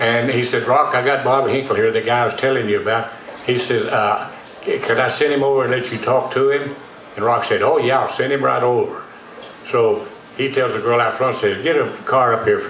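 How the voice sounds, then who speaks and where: In a Texan accent, a man talks at a fairly quick pace, with audible room echo and noticeable background noise. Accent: Texan accent, dropped G's and heavy R's. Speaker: actor and dialect coach telling stories. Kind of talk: storytelling interview. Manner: folksy, animated.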